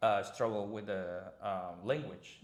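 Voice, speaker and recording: A man with a Spanish accent at a very slow pace. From Mérida, Mexico. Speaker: concierge service founder. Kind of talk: podcast interview answer.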